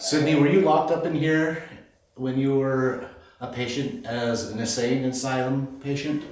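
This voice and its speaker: Amid noticeable background noise and audible room echo, a man talks at a moderate pace with fairly even intonation. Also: medium pitch for a man. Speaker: ghost hunter. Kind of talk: ghost hunt. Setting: abandoned hospital. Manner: loud; quiet.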